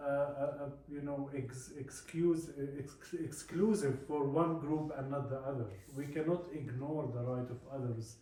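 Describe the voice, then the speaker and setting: A man with an Arabic accent speaks at a fairly high pitch and a fairly slow pace. His intonation is fairly even, and audible room echo surrounds him. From Palestine. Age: 40s. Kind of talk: talk to a visiting group. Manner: halting with many fillers.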